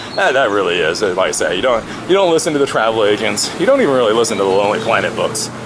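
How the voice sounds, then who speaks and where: The speech comes at a very fast pace amid noticeable background noise and audible room echo. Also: man. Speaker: vlogger. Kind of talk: casual vlog monologue. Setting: outdoors, walking with camera. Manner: stutters at times.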